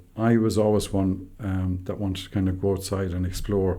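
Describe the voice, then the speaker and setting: A man is speaking. He has an Irish accent. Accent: Irish (Clare). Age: 60s. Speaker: tour business owner. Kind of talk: podcast interview. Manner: halting, many fillers.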